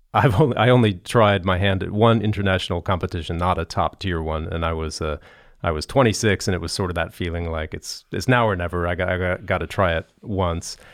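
This man, with an American accent, has a very deep, low pitch and moves at a fairly quick pace. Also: ordinary pitch variation. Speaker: podcast host, orchestra violinist. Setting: studio at concert hall.

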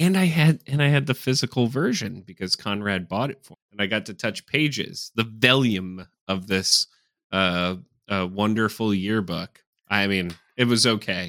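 Lively intonation and a bright, sharp tone mark this man's fairly low voice at a moderate pace. The recording is very clean with a silent background and a dry, close sound with no echo. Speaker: podcast co-host. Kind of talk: casual chat. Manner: sarcastic-sounding.

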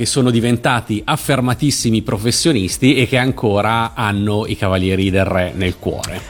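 Here is a man with an unremarkable speaking voice. His speed is moderate and his pitch shifts normally. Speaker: radio host. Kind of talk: live radio interview.

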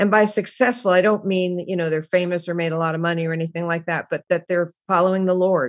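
This woman's voice sits at a medium pitch. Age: 60s. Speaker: author and former stage actress. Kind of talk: interview. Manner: halting.

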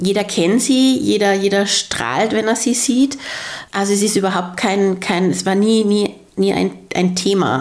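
Through noticeable background noise, a woman speaks at medium pitch with ordinary pitch variation. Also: fairly slow pace, very even loudness. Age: 30s. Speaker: interviewee, pregnant mother. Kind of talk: casual interview chat. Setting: her living room.

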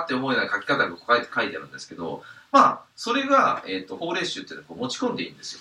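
Noticeable noise sits behind a man who speaks very rapidly. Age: 30s. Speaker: podcast host and side-business investment advisor. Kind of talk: casual monologue. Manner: halting, many fillers.

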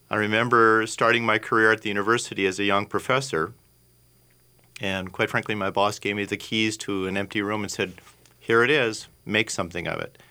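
With an Upper Midwest accent, a man speaks at a moderate pace in a fairly low, bright, sharp voice. The recording is very clean, with a silent background. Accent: Upper Midwest American. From Minnesota, South Minneapolis. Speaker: physician and lab founder. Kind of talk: radio interview. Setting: radio studio.

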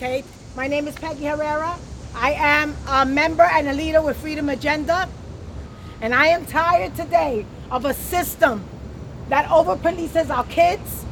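A woman with an American accent speaks at a moderate pace and a high pitch with ordinary pitch variation, leaving long, frequent pauses over noticeable background noise. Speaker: activist. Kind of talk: rally speech. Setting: outdoors. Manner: impassioned, emphatic repetition.

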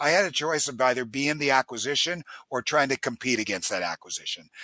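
On a very clean recording with a silent background, a man with a medium pitch and a bright, sharp tone speaks at a fairly quick pace with ordinary pitch variation, the sound dry and close with no echo. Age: 60s. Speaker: company president. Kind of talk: interview.

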